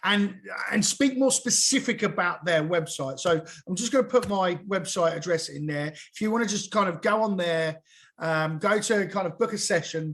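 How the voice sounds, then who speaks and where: A loud man with a southern English accent against a quiet background. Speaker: SEO consultant and webinar trainer. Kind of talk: live webinar presentation. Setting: group video call. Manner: halting, many fillers and restarts.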